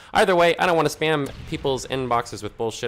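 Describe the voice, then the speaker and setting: The speaker is a man. He has an American accent. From Conway (US college town). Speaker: gaming commentator. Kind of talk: casual gameplay commentary with storytelling. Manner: fast; casual, hesitant with many fillers.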